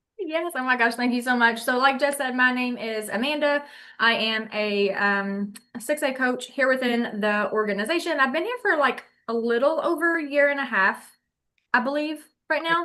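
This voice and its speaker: Projecting a raised voice with a bright, sharp tone, a woman speaks at a high pitch and moderate pace with ordinary pitch variation against a quiet background. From Kentucky. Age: 30s. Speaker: online business coach. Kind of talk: casual livestream chat. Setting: livestream.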